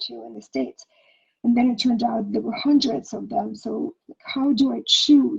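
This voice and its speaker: A woman speaks at a fairly high pitch with vocal fry. Her tone is dark and mellow. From Ukraine (Soviet Union). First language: Russian or Ukrainian. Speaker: past life regression healer. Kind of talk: interview conversation.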